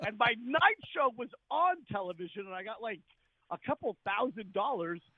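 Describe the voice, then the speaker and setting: A man uses a raised, projected voice at a high pitch, with very wide pitch swings and an animated tone. The sound is dry and close, with no echo. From Scotland. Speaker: comedian and actor. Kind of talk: radio interview.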